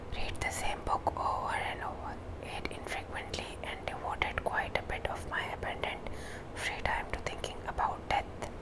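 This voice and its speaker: A woman whispering at a moderate pace amid noticeable background noise. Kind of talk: ASMR book reading, whispered. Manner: whispered, soft-spoken.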